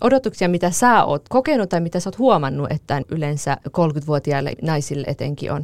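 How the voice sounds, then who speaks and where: A woman with a plain, everyday voice speaks at a moderate pace with hardly any pauses. Her pitch is fairly low, and her intonation is lively. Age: 30s. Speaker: podcast host. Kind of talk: casual chat; scripted narration.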